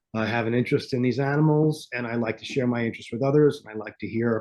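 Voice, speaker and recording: Speaking at a fairly quick pace, a man with a New York accent uses a medium pitch with ordinary pitch variation. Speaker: podcast host guest. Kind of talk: casual chat. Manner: intense; halting.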